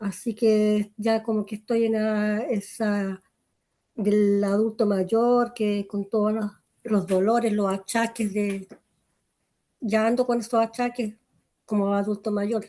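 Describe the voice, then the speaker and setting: Speaking very slowly with long, frequent pauses, a woman's fairly high voice stays monotone and flat, with a dark, mellow tone. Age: 60s. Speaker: adult student. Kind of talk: class discussion. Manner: halting.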